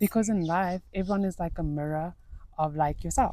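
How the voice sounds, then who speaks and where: A woman speaks in a fairly low pitch with a dark, mellow tone. Her pitch varies in an ordinary way. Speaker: lifestyle vlogger. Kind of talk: casual vlog monologue. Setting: outdoors in nature. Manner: animated; loud.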